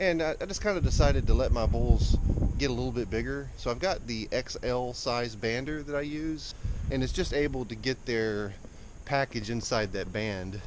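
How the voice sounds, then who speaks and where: Lively intonation and an American accent come through with noticeable background noise and audible room echo. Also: man, medium pitch for a man, moderate pace. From Texas. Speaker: cattle farmer. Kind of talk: casual vlog. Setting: outdoors. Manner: halting, many fillers.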